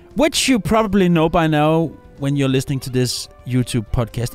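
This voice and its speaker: A man talks with a Danish accent and very wide pitch swings. The recording is very clean, with a silent background. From Denmark. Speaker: musician and podcast host. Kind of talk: casual podcast monologue. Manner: animated; halting.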